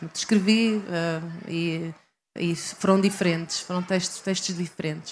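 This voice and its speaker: On a very clean recording with a silent background, a woman with a European Portuguese accent speaks at a moderate pace in a fairly low voice. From Portugal, Leiria district. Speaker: writer. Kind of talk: interview. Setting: live event at literary festival. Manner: halting, many repetitions and fillers.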